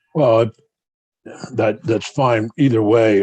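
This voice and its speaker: The speaker is a man with an American accent and a medium pitch. The sound is dry and close, with no echo. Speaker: committee chair. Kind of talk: committee hearing.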